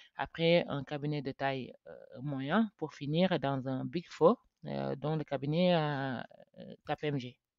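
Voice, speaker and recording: Speaking at a very slow pace, a woman uses a very deep, low pitch with ordinary pitch variation. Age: 30s. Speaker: chartered accountant, firm founder. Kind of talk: podcast interview. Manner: hesitant, many fillers.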